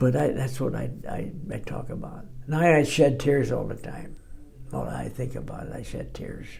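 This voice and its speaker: Over noticeable background noise, a man's voice shows big swings in loudness. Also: moderate pace. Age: 80s+. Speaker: war veteran. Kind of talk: interview answer.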